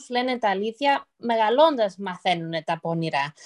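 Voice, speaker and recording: In a dry, close sound with no echo, a woman with an unremarkable speaking voice talks at a fairly slow pace. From United States, Greek-American. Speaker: podcast host. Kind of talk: casual chat.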